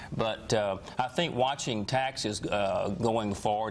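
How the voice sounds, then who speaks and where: A fairly low-voiced man in a Southern US accent, with ordinary pitch variation and noticeable background noise. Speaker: financial advisor. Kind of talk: TV interview. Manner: halting.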